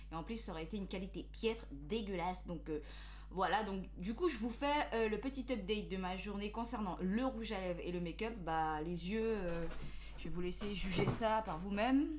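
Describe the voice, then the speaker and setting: A woman at a medium pitch speaks at a moderate pace with ordinary pitch variation, audible room echo and noticeable background noise. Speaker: beauty youtuber. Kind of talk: product review vlog. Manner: hesitant, many fillers.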